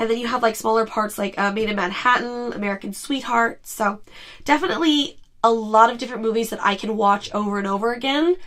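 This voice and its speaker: A fairly quick pace and ordinary pitch variation, with noticeable background noise. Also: woman, fairly high pitch for a woman. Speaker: podcast host. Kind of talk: casual podcast talk.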